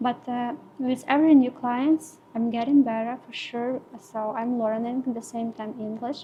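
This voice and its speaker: Over noticeable background noise, a woman talks at a moderate pace in a high, flat monotone, her loudness swinging widely. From Ukraine. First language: Ukrainian. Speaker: permanent makeup artist. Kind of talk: podcast interview. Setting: podcast recording. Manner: halting, many fillers.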